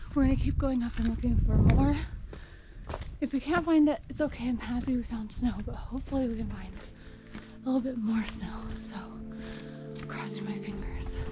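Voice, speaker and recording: A woman talks at a moderate pace. Behind her voice, clear music plays. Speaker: hiking vlogger. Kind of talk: casual vlog chat. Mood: excited, cheerful. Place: forest. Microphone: phone near.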